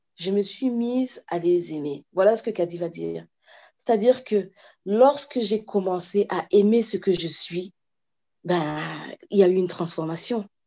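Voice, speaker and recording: A woman speaks at a fairly slow pace with ordinary pitch variation. She leaves long, frequent pauses. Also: medium pitch for a woman. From France, then Cameroon from age 8. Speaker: children's author and watercolourist. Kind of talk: interview. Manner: halting, many repetitions.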